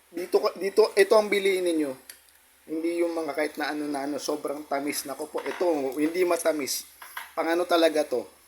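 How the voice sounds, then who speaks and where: Against noticeable background noise, a man talks with a fairly high pitch and fairly even intonation. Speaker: motovlogger. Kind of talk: casual vlog talk.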